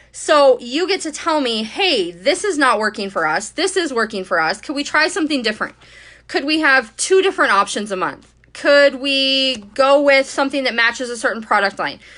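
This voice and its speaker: A woman speaks in a raised, projected voice with a high pitch and very wide pitch swings. Her tone is bright and sharp against a quiet background. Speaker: scrapbooking creator and cut-file subscription host. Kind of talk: live-stream Q&A with audience. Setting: live video stream on social media. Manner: fast; casual, chatty.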